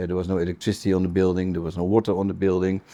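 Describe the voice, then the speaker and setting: A man speaks with a Dutch accent in a very deep, low pitch. His tone is dark and mellow. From Netherlands. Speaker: business council manager. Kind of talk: interview. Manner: halting.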